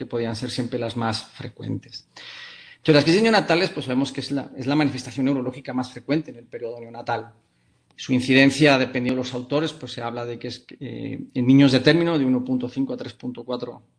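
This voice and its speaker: In a Spanish accent, a man talks fairly quickly with fairly even intonation and big swings in loudness. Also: medium pitch for a man. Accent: Spanish (Spain), marked lisp-like ceceo. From Spain. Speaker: pediatric neurologist. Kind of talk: lecture. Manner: hesitant, many fillers.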